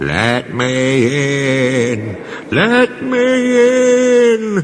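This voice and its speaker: Over clear background noise, a man performs a put-on character voice at a fairly high pitch with very wide pitch swings. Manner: spooky.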